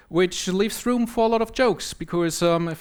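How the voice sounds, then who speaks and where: A man with a German accent at a moderate pace and ordinary pitch variation, on a very clean recording with a silent background. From Germany. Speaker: software trainer and conference speaker. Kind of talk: conference talk.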